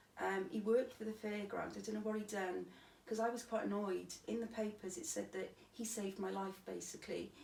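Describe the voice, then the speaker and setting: Fairly quick female speech amid noticeable background noise and audible room echo. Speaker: stabbing survivor. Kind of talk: interview testimony.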